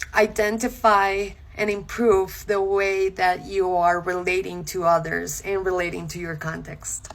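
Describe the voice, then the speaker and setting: Very slowly, a woman speaks in a Spanish accent. Her intonation stays monotone and flat. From Colombia. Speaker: content creator. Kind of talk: casual talk to camera. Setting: social media video.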